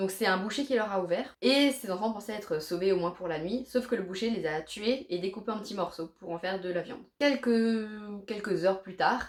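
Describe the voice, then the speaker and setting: A woman with an Alsatian accent, medium pitch, ordinary pitch variation. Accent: Alsatian French accent, leaning German. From Alsace, France. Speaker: YouTuber. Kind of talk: casual vlog talk to camera.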